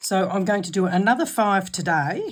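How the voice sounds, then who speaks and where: An Australian accent marks this woman's speech. She is somewhat breathy and talks at a moderate pace. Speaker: craft channel host. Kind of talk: tutorial.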